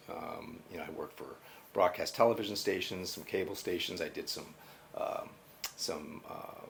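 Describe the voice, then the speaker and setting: A man with a US Northeastern accent at a moderate pace. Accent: US Northeast. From Connecticut, US Northeast. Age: 60s. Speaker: college IT project manager. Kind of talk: oral history interview. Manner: halting, many fillers.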